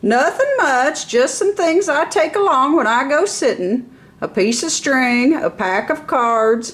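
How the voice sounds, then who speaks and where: A woman's loud, put-on character voice, high in pitch and at a fairly slow pace. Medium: read story. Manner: jolly, strong and forthright.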